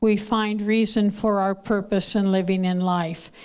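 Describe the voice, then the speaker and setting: Audible room echo surrounds a woman speaking at a fairly slow pace, with a medium pitch and fairly even intonation. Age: 80s+. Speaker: retired nursing professor. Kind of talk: public talk. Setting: stage with audience. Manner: halting.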